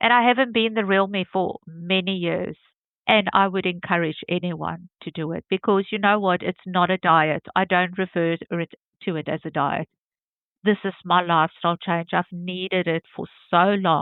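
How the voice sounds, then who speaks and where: A normal speaking voice, moderate pace and fairly even intonation. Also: woman, medium pitch for a woman. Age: 50s. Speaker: interviewee sharing health journey. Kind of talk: testimony interview.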